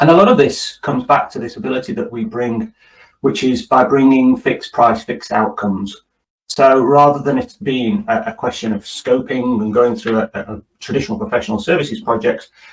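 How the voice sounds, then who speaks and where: Somewhat breathy and fairly quick, a man with a British accent talks in a fairly high pitch that swings very widely. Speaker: tech company executive. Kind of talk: webinar presentation. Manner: hesitant, repeats words.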